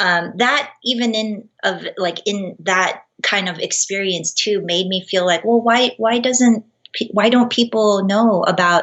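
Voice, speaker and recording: A plain, everyday voice speaks in an American accent with ordinary pitch variation. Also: woman. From Los Angeles, US. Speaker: baker and cookie artist. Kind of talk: interview.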